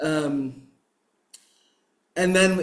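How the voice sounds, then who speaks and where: The intonation stays fairly even, and audible room echo surrounds the voice. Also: man. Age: 60s. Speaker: meditation teacher and activist. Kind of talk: interview. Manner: halting.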